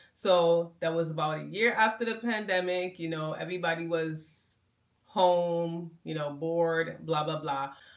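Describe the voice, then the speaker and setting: A woman with a plain, everyday voice speaks at a fairly low pitch. She goes at a fairly slow pace with fairly even intonation. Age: 40s. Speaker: medical biller and content creator. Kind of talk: casual vlog monologue.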